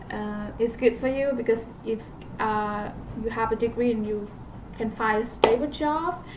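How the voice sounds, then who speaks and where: Fairly even intonation, a moderate pace and a non-native accent, with long, frequent pauses over noticeable background noise. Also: woman, fairly high pitch for a woman. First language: not English. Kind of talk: casual talk to camera. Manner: hesitant, many fillers.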